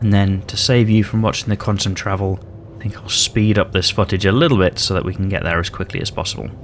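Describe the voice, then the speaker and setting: Speaking at a very fast pace, a man with a British accent keeps a fairly low pitch and fairly even intonation. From Britain. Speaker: gaming YouTuber. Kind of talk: gameplay commentary. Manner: casual, hesitant with fillers.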